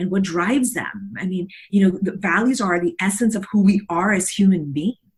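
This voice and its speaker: At a medium pitch, a woman's voice comes across somewhat breathy. She keeps a moderate speed. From South Texas, Mexican border. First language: Spanish. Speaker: leadership coach. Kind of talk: interview. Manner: halting, many fillers.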